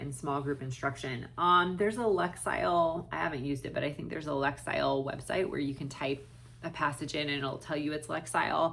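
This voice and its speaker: A woman with a very deep, low pitch and a bright, sharp tone speaks at a moderate pace, with vocal fry and ordinary pitch variation. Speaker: special education teacher and reading tutor. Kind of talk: Q&A talk to camera. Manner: halting, many fillers.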